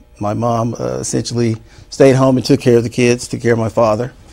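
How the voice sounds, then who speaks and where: A man with a Mississippi accent, fairly even intonation, and a quiet background. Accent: Southern US (Mississippi). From US South, Mississippi Delta. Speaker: university dean. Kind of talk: interview. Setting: studio. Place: studio. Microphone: lapel.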